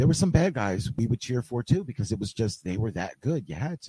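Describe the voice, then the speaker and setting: Very wide pitch swings from a somewhat breathy man with a medium pitch, a dark, mellow tone and a very fast pace, in a very clean recording with a silent background. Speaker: wrestling manager and fan. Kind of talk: casual chat. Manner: quiet; soft-spoken.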